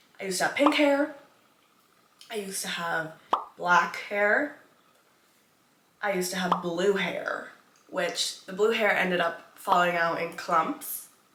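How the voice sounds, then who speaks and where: Speaking fairly slowly with long, frequent pauses, a woman uses a medium pitch and lively intonation. Room echo is audible. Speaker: lifestyle vlogger. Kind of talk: casual get-ready-with-me vlog.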